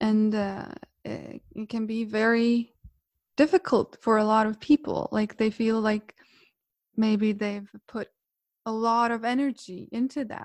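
With a Croatian accent, a woman speaks at a fairly slow pace with long, frequent pauses, a fairly high pitch and fairly even intonation. The sound is dry and close, with no echo. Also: very clean recording, silent background. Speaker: yoga teacher. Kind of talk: casual interview chat.

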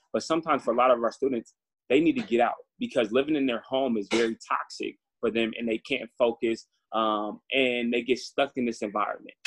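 An American man with a plain, everyday voice speaks at medium pitch and a fairly quick pace. His intonation is fairly even, and the sound is dry and close with no echo. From Northern California, Antioch. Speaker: graduate student and youth education advocate. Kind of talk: interview. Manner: casual, filler-heavy.

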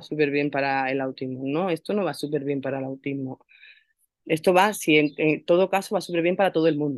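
A woman talks in a plain, everyday voice at a moderate pace. Her pitch variation is ordinary. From Málaga, Andalusia, Spain. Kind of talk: personal testimony in interview.

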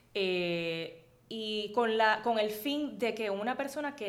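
Noticeable background noise accompanies a woman with a Puerto Rican accent, her fairly high voice showing ordinary pitch variation. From Puerto Rico, Arecibo area. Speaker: architect and magazine editor. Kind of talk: interview.

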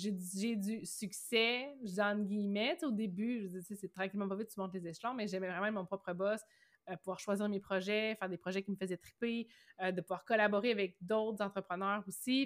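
Fairly level intonation in the mid-range pitch of a woman's voice. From Quebec, Bas-Saint-Laurent (Rimouski). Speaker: entrepreneur, web agency owner. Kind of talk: interview. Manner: fast.

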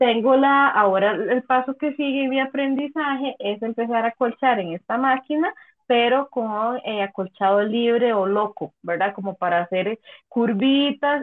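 A woman with a Costa Rican accent and a fairly high pitch, speaking at a fairly slow pace. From Costa Rica, San José. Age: 30s. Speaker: quilter. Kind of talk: casual interview.

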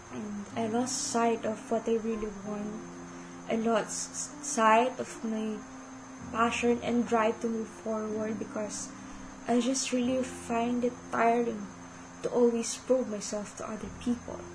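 A woman with a Filipino accent speaks very slowly in a monotone, flat way at a fairly high pitch, with noticeable background noise and audible room echo. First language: Tagalog. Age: 20s. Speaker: podcast host. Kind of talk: personal monologue.

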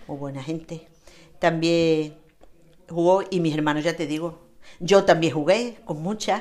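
In an Andalusian accent, a woman speaks at a fairly low pitch with big swings in loudness and long, frequent pauses. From Andalusia, Spain. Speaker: interviewee, local resident. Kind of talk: casual interview. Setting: home terrace.

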